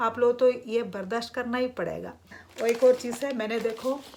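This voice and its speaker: In a non-native accent, a woman speaks at a high pitch with fairly even intonation. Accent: non-native Hindi. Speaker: vlogger. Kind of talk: casual vlog talk. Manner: hesitant with fillers.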